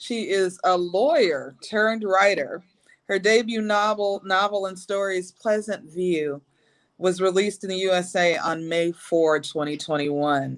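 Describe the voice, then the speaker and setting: Speaking at a fairly slow pace, a woman has an unremarkable speaking voice at medium pitch, with ordinary pitch variation. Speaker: live show host. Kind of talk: host introduction.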